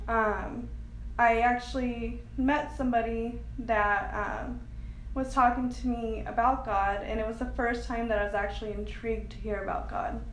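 A woman talks at a moderate pace. Noticeable background noise and audible room echo fill the recording. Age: 20s. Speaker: foster care survivor sharing her story. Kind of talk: testimony.

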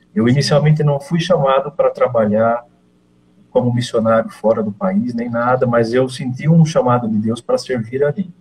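Somewhat breathy, a man speaks at a medium pitch and a moderate pace, with ordinary pitch variation. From Brazil, interior of São Paulo (Leme). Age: 50s. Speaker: missionary. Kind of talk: interview, personal testimony.

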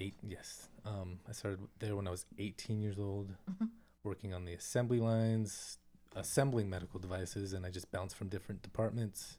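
On a very clean recording with a silent background, a man with an American accent talks at a fairly quick pace in a fairly low pitch, his tone dark and mellow and his intonation monotone and flat. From California. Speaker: guest, custom drum beater maker.

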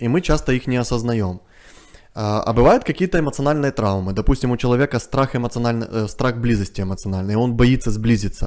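The delivery is fairly quick, with ordinary pitch variation and a plain, everyday voice. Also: man. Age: 30s. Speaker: family psychologist. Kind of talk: interview. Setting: studio.

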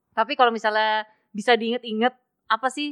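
A woman speaks at a fairly high pitch with ordinary pitch variation and a fairly quick pace. She has an ordinary speaking voice. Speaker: podcast host. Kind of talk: casual interview. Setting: in-person recording, both wearing masks. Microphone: muffled by double-layer face mask.

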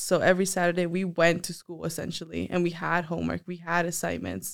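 At a moderate pace, a woman talks in an ordinary speaking voice pitched fairly low. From US, child of Mexican immigrants. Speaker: college student leader. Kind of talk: casual interview.

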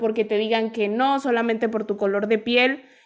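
A woman with a fairly high pitch speaks in a plain, everyday voice against a quiet background. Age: 20s. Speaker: podcast host. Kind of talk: interview.

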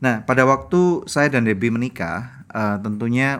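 Here is a man with an unremarkable speaking voice, a medium pitch and lively intonation. The recording is very clean, with a silent background. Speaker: podcast host, marriage ministry. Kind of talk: sermon; casual chat.

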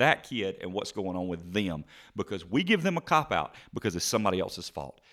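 On a very clean recording with a silent background, a man with a Southern US accent races along at a very fast pace with very wide pitch swings. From South Carolina, Spartanburg area. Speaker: podcast co-host. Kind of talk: casual chat.

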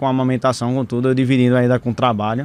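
Here a man speaks at a medium pitch. His pace is very fast. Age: 30s. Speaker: physician. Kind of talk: casual chat.

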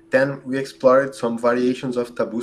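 A man with a Brazilian accent is speaking. His pitch is medium and his pace fairly slow. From southern Brazil, Rio Grande do Sul. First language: Portuguese. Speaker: computer scientist and optimization researcher. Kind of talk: podcast interview.

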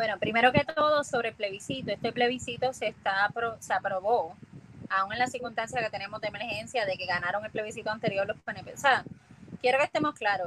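A woman with a normal speaking voice, fairly high pitch and ordinary pitch variation. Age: 30s. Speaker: political candidate. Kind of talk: interview.

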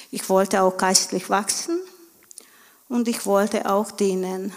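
A medium-pitched woman's voice comes through over noticeable background noise. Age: 40s. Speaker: stay-at-home mother of a large family. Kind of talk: church interview testimony.

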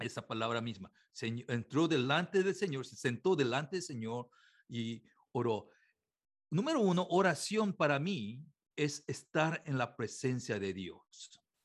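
Against a quiet background, a man with a fairly high pitch speaks at a fairly slow pace with very wide pitch swings and big swings in loudness. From Korea. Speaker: pastor. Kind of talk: religious talk.

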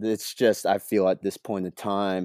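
A man with a Pacific Northwest accent speaks in a very deep, low pitch and a dark, mellow tone, recorded very cleanly with a silent background and a dry, close sound with no echo. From rural coastal Oregon, US. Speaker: pro off-road triathlete. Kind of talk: casual interview.

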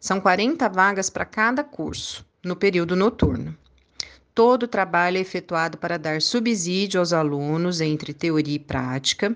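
A woman of medium pitch speaks at a fairly slow pace with lively intonation, in a normal speaking voice. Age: 40s. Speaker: college professor and course coordinator. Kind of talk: interview.

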